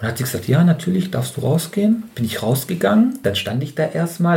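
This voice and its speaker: Lively intonation carries a somewhat breathy voice. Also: man. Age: 30s. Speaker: trainee kindergarten teacher. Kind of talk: casual chat.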